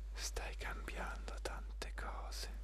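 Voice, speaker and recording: Soft-spoken whispering, dry with no echo, against noticeable background noise. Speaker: motivational speaker. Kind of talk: motivational address. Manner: soft intimate whisper, slow pace.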